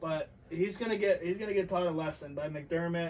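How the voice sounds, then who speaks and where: Loud speech at a fairly quick pace, with noticeable background noise. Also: man. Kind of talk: casual chat.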